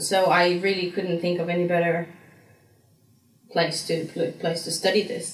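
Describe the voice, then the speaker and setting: Amid audible room echo, a woman speaks at a moderate pace and medium pitch with monotone, flat intonation. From Slovenia, south-east (Dolenjska). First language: Slovenian. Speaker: graduate student. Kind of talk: interview. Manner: halting, many repetitions and fillers.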